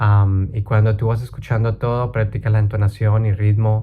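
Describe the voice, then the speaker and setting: At a moderate pace, a man with a fairly low pitch speaks in a monotone, flat intonation, his somewhat breathy voice dark and mellow in tone. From Colombia. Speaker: language learning YouTuber. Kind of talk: casual talk to camera.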